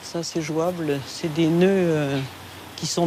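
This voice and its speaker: A woman's fairly low, monotone, flat voice at a very slow pace, with audible room echo and noticeable background noise. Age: 60s. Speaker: forest owner. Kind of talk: casual chat.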